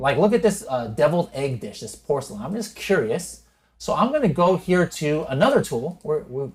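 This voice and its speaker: A man speaks at a moderate pace in a fairly high voice, his pitch swinging very widely. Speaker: e-commerce software educator, podcast host. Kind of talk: screen-share tutorial. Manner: unscripted, conversational.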